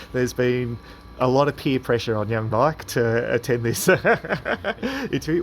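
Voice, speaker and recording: A man speaks with an Australian accent at a medium pitch and a fairly slow pace. His pitch varies in an ordinary way, and there is noticeable background noise. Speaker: club interviewer. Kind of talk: interview questions.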